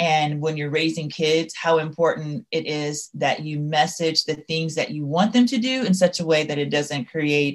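The voice moves at a moderate pace with ordinary pitch variation against a quiet background. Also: woman. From Louisiana, US South. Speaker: school leader and author. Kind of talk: interview.

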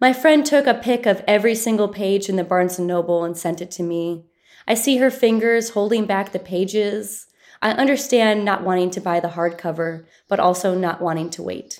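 A woman speaks in a normal speaking voice, medium in pitch with ordinary variation. Her pace is moderate, and the recording is very clean with a silent background. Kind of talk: poetry reading.

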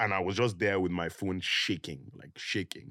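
On a very clean recording with a silent background, a man talks at a moderate pace in a very deep, low voice. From Nigeria, Lagos. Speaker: influencer. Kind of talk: casual interview chat. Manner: halting, many fillers.

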